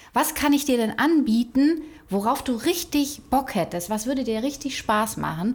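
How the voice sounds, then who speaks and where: Her high-pitched voice moves at a moderate pace, a woman speaking with lively intonation. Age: 40s. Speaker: PR agency director. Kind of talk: casual chat. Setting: office room.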